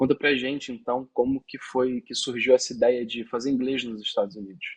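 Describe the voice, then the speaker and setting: This man has a plain, everyday voice at a medium pitch. He talks at a fairly quick pace. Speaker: visa consultant. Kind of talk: interview.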